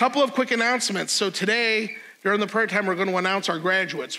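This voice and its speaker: Raising and projecting his voice, a man speaks at a very fast pace in a bright, sharp tone with ordinary pitch variation. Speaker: pastor giving announcements. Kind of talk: church announcements. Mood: upbeat and friendly. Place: church. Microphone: lapel.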